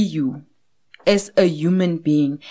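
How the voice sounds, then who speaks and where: This woman's voice has a dark, mellow tone. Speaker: podcast host. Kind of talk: interview.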